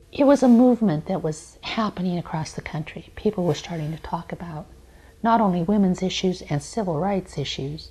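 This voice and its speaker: A woman with an American accent speaks at a fairly quick pace, somewhat breathy and fairly low-pitched, with a dark, mellow tone. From Montana. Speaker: domestic violence advocate. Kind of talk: interview testimony. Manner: conversational, with fillers.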